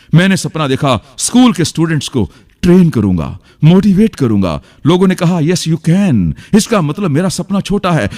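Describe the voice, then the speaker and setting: A man speaks with very wide pitch swings. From India. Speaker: motivational speaker. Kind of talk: motivational seminar speech. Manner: interactive, entertaining, powerful.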